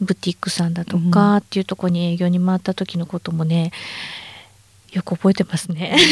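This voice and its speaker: Somewhat breathy and monotone, a woman speaks at a fairly quick pace with a dry, close sound and no echo. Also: fairly low pitch for a woman. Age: 50s. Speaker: supplement company manager. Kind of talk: interview.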